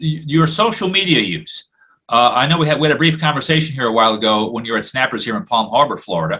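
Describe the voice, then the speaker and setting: Speaking at a very fast pace, a man with fairly high pitch uses lively intonation. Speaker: podcast host, comedian. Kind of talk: casual chat.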